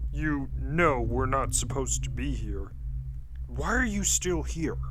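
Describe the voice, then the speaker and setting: A man growls in a put-on character voice at a fairly slow pace over loud background noise. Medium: read story. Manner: casual slangy speech, urgent.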